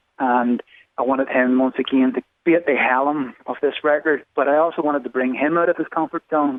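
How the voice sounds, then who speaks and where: A man with an Irish accent, fairly high pitch, fairly even intonation, very even loudness and a fairly quick pace. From Ireland. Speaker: songwriter. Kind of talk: interview answer.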